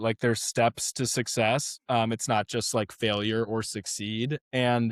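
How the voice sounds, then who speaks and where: A man speaks at medium pitch and a fairly slow pace. The sound is dry and close with no echo, on a very clean recording with a silent background. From western Maryland, US. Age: 20s. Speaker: high school swim coach. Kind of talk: podcast interview. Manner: halting, many fillers and repeats.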